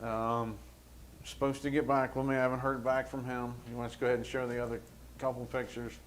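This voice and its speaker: The man talks very fast at a medium pitch. His delivery is monotone and flat, with audible room echo. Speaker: township trustee. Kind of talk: public meeting report. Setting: township meeting room. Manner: loud.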